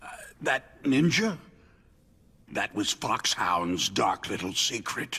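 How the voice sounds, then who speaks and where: Putting on a character voice, a man at a medium pitch talks at a fairly slow pace, with long, frequent pauses and very wide pitch swings. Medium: video game. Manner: terse, blunt.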